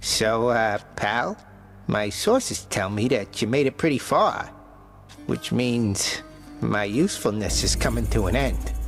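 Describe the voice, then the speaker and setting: Clear background music behind a man doing a put-on character voice, fairly slow in pace. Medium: video game. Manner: casual, slangy.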